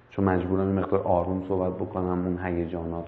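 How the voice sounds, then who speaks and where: A man's very deep, low voice in a monotone, flat delivery at a very fast pace, with audible room echo. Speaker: meditation instructor. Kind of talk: guided meditation. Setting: live stream. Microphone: far from the mic.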